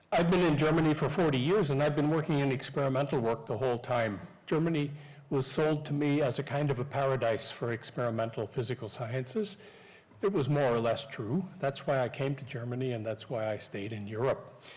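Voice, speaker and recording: A somewhat breathy man's voice, fairly high in pitch, with audible room echo. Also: ordinary pitch variation, fairly quick pace. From Canada, Newfoundland. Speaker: professor. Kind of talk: lecture. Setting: stage with audience.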